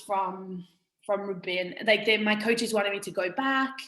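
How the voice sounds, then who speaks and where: A woman with an English accent speaks at a fairly high pitch and a moderate pace. Her intonation is fairly even, and room echo is audible. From England, small country town. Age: 20s. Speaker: fitness coach and former rugby player. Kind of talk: casual interview chat. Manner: informal, many fillers (um, like).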